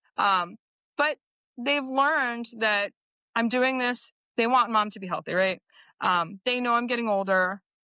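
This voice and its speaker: A fairly slow pace with ordinary pitch variation and long, frequent pauses. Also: woman, fairly high pitch for a woman. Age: 40s. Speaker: guest, working mom who reversed diabetes. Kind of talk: casual chat.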